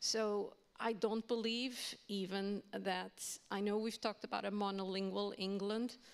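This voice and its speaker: Talking at a fairly slow pace, a woman uses a medium pitch and a Portuguese accent. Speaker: university language educator. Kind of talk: panel discussion.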